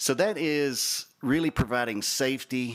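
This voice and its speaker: A man speaks with a Southern US accent and fairly even intonation. The recording is very clean, with a silent background. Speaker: shooting range representative. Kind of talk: project presentation at public meeting.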